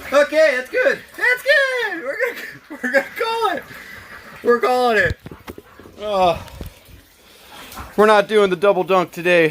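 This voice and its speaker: A man talks in an excited tone at a fairly slow pace, with long, frequent pauses and noticeable background noise behind him. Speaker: home gardener keeping chickens. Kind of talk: casual talk to camera. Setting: outdoors. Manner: hesitant, pauses and stutters; excited yelling.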